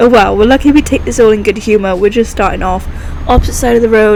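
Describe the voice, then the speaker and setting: Very fast speech from a woman with a fairly high pitch and ordinary pitch variation, over noticeable background noise. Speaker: gaming YouTuber. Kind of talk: gameplay commentary. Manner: animated.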